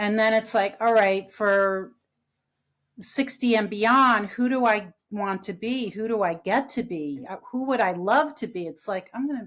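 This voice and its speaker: A woman's unremarkable speaking voice, medium in pitch with ordinary pitch variation, at a fairly slow pace on a very clean recording with a silent background. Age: 50s. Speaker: grief recovery specialist and coach. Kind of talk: casual chat.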